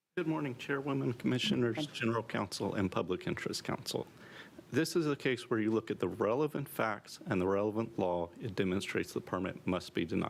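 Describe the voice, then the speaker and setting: Soft-spoken at a medium pitch, a man talks at a fairly quick pace with very even loudness and very wide pitch swings. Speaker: attorney for protestants. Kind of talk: legal oral argument.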